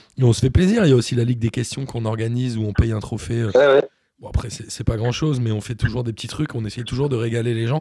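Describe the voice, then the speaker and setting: A dark, mellow, somewhat breathy voice at a very fast pace with fairly even intonation. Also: man, medium pitch for a man. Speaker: podcast host. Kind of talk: casual chat.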